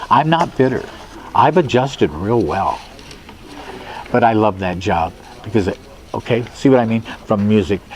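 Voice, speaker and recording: Amid noticeable background noise, a man of medium pitch speaks with an American accent at a moderate pace, using lively intonation and long, frequent pauses. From US Midwest, South Omaha, Nebraska. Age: 70s. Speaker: musician and bandleader. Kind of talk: oral history interview. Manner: halting, with many fillers.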